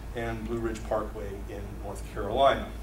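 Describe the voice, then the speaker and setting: Noticeable background noise surrounds a man's voice. The room echo is audible. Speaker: tourism research presenter. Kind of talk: presentation to audience. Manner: loud, projecting; fast-paced.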